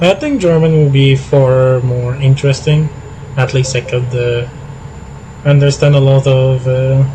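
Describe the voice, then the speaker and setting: A man speaks at a medium pitch and a fairly slow pace. Noticeable background noise runs behind him. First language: French. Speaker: gaming streamer. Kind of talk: casual live stream chat. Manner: halting, many fillers.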